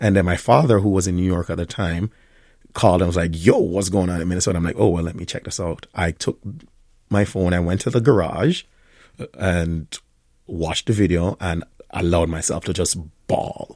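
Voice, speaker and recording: A man with a very deep, low pitch and a dark, mellow tone talks at a fairly quick pace with fairly even intonation and long, frequent pauses, on a very clean recording with a silent background. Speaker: restaurant owner and chef. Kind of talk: radio interview. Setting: studio.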